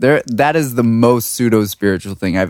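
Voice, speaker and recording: With an American accent, a man speaks in a plain, everyday voice. His pitch is medium and his pace moderate. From US, Washington DC. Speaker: music producer and sound designer. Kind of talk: casual chat. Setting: studio.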